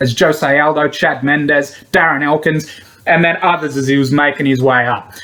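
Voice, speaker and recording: Here a man is speaking. He has an Australian accent. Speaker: MMA betting tipster. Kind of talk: solo commentary video, casual.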